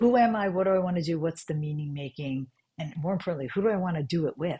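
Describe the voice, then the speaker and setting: A woman's fairly low, dark, mellow voice with an American accent, somewhat breathy and very fast, with ordinary pitch variation. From New York. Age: 60s. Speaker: functional medicine doctor. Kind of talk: podcast interview. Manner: animated.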